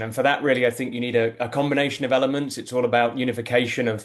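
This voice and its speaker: In a British accent, a man speaks at a very fast pace. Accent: British-sounding. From UK-born, raised abroad. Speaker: tech executive, panelist. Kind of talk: webinar panel discussion. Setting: online webinar.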